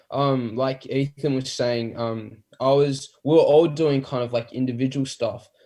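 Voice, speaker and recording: A man speaks with an Australian accent. His tone is dark and mellow, and his intonation fairly even. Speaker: band musician. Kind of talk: casual interview. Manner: halting.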